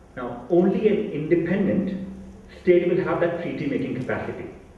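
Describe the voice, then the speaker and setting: Over noticeable background noise and audible room echo, a man with a high voice speaks at a moderate pace. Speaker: panel speaker on Tibet. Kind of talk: lecture. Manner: loud.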